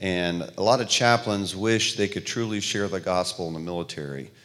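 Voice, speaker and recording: In a very clean recording with a silent background, a man with a Southern US accent speaks in a very deep, low voice. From US South. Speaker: missionary relief worker.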